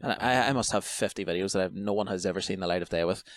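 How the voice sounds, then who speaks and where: A man with an Irish accent talks at a very fast pace. His voice is fairly low-pitched. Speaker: podcast host. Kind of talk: casual chat.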